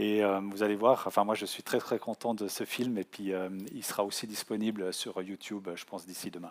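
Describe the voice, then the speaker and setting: Over a very clean recording with a silent background, a man talks in a monotone, flat way while his loudness swings widely. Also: moderate pace. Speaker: offshore sailor giving a talk. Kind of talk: public talk. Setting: conference hall with audience. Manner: halting, many hesitations.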